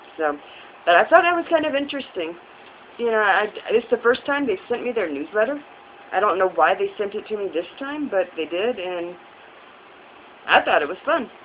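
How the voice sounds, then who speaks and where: The pitch swings very widely at a fairly quick pace, broken by long, frequent pauses. Noticeable background noise sits behind the voice. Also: woman, fairly high pitch for a woman. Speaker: vlogger. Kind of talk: casual vlog monologue. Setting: recorded on a phone propped up. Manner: fast. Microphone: phone camera.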